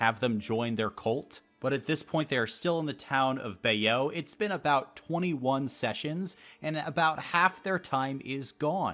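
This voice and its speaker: Music plays in the background. The speaker goes at a moderate pace with lively intonation. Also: man. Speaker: game master YouTuber. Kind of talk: campaign recap monologue.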